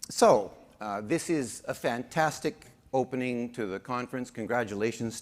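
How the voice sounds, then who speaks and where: A man with a Canadian accent speaks at a moderate pace in an ordinary speaking voice, with ordinary pitch variation, on a very clean recording with a silent background. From Saskatchewan, Canada. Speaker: conference emcee. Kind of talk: event hosting with humor.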